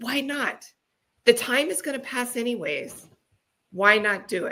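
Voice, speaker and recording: Speaking fairly slowly, a woman uses a high, bright, sharp voice with lively intonation. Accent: American. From US Midwest. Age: 50s. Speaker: guest, book co-author. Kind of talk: interview conversation.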